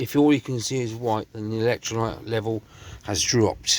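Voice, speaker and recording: A man with an English accent and a fairly low pitch. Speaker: car restoration youtuber. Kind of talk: tutorial. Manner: halting; casual.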